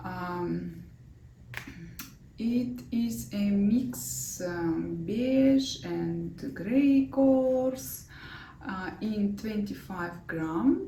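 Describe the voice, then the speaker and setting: With a Russian accent, the speaker talks at a very slow pace in a room with audible echo. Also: woman. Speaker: knitting designer and vlogger. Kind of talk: knitting vlog. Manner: halting, many fillers.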